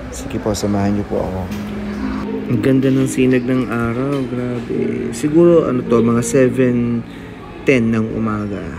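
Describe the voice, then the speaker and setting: Over music in the background, a man talks at a fairly slow pace with a medium pitch and ordinary pitch variation, and audible room echo. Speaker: vlogger and school teacher. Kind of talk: vlog commentary while riding a motorbike. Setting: outdoors on a motorbike.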